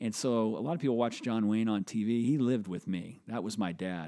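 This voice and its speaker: A man's fairly low voice has a dark, mellow tone and ordinary pitch variation, captured in a very clean recording with a silent background. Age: 50s. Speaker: angel investor and startup consultant. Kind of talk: interview.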